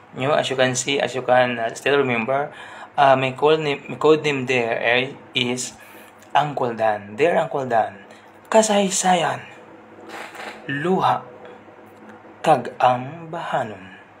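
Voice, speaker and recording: A man's strained, medium-pitched voice, fairly slow with long, frequent pauses and ordinary pitch variation, against noticeable background noise. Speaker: radio host turned livestream storyteller. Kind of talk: live stream chat and story reading. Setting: indoor room with neighbours next door. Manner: deliberately restrained volume.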